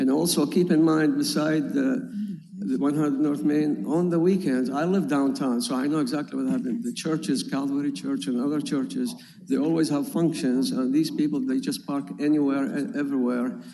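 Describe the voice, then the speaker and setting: Over audible room echo, a man with a non-native accent speaks in a dark, mellow tone, fairly high in pitch with very wide pitch swings. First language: not English. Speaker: property owner applicant. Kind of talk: public hearing testimony. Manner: halting.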